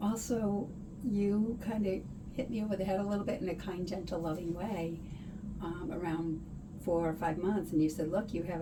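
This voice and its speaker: Speaking at a moderate pace, a woman is heard through audible room echo and noticeable background noise. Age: 60s. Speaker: patient giving a testimonial. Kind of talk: testimonial interview.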